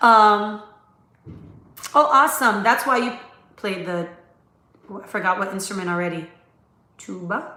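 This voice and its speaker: Animated in tone, a woman speaks with ordinary pitch variation, big swings in loudness, and long, frequent pauses, with audible room echo around her. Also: medium pitch for a woman. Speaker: dentist. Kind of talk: live stream Q&A. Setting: live stream from laptop. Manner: fast.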